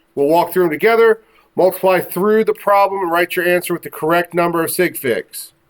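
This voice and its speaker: A man talks at a fairly quick pace. His voice is high in pitch. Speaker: high school science teacher. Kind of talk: classroom lecture. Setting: classroom.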